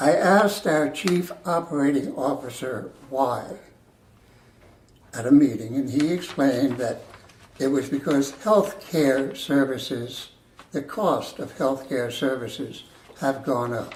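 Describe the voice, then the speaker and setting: A man with an American accent speaks at a fairly slow pace in a fairly high pitch, with ordinary pitch variation, audible room echo, and noticeable background noise. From New Jersey. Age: 80s+. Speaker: retired military veteran. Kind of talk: testimony. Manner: measured, deliberate.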